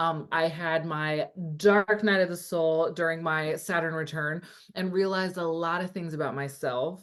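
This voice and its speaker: A woman talks with an American accent at a moderate pace. Her pitch sits fairly low. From California. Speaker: astrologer and coach. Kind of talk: casual interview chat. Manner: animated.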